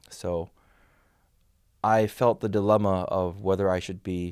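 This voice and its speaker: On a very clean recording with a silent background, a man with an American accent talks in a very deep, low pitch with fairly even intonation. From South Korea, childhood in the US and France. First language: Korean. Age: 40s. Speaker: crypto exchange ambassador. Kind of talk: interview. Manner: halting, many fillers.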